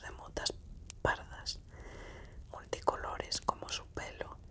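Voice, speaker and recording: Someone is whispering at a fairly slow pace. Noticeable background noise sits behind the voice. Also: woman. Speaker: ASMR reader. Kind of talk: whispered audiobook reading, ASMR. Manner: whispered, soft-spoken.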